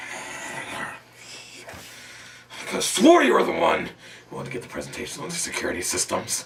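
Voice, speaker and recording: A man in a put-on character voice speaks at a moderate pace with big swings in loudness and long, frequent pauses. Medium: audio drama. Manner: abrupt, fussy.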